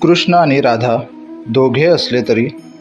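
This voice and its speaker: Medium-pitched man with ordinary pitch variation, music in the background. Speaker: poet. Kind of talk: poetry reading.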